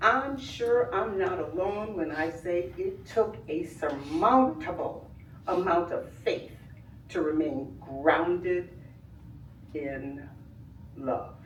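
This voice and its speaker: Very slowly, a woman speaks with very wide pitch swings, amid noticeable background noise and audible room echo. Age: 70s. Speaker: community member / family friend. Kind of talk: public comment at village board meeting. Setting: public meeting with audience. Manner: formal, oratorical.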